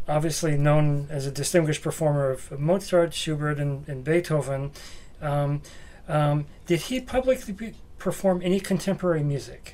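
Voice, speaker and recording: The speaker is a man with a fairly high pitch. He keeps a moderate pace. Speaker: music librarian interviewer. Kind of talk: oral history interview. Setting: library. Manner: halting.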